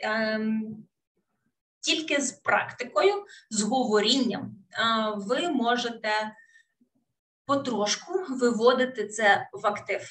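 In a Russian accent, a woman speaks very slowly with a fairly high voice. Her pitch varies normally, broken by long, frequent pauses. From Ukraine, Kherson; Ukraine. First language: Russian (speaking Ukrainian). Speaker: English teacher. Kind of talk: webinar lecture. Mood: warm, encouraging. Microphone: webcam.

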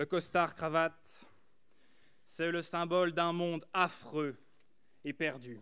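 Over a quiet background, a high-pitched man with a bright, sharp tone and fairly even intonation speaks very slowly, with long, frequent pauses. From France, rural Burgundy. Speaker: student orator. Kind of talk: eloquence contest speech. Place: hall. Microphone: podium.

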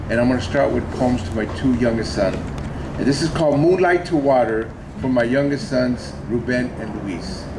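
A man with an American accent talks at a moderate pace with ordinary pitch variation amid noticeable background noise. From Los Angeles. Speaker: poet. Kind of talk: poetry reading. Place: hall. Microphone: camera far.

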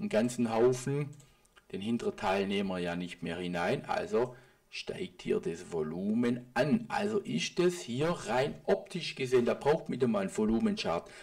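Moving through very wide pitch swings from a medium pitch, a man speaks at a moderate pace. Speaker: private trader and market analysis video host. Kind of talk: market analysis commentary over charts. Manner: casual, with filler sounds.

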